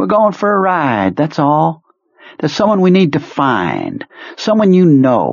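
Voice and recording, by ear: A put-on character voice from a man, fairly high in pitch, with vocal fry, a fairly slow pace and very wide pitch swings.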